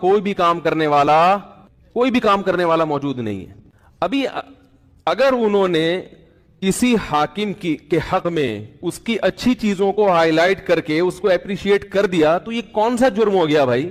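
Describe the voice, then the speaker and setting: High-pitched, a man speaks with ordinary pitch variation. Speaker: Islamic scholar / mufti giving a sermon. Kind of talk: Islamic sermon (bayan).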